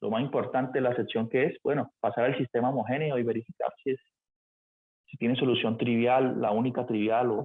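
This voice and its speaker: Speaking fairly quickly, a man uses a medium pitch and fairly even intonation. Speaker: math teacher. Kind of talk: lecture. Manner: fast.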